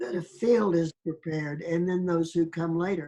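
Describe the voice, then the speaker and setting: A woman speaks at a fairly slow pace with fairly even intonation. Her voice is fairly low in pitch, with a dark, mellow tone. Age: 80s+. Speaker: spiritual awakening experiencer. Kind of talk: interview.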